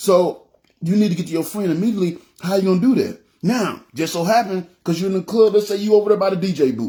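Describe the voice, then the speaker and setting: Loud and dark, mellow in tone, a man speaks at a very fast pace with ordinary pitch variation. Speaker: preacher. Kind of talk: sermon. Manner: halting, repetitive.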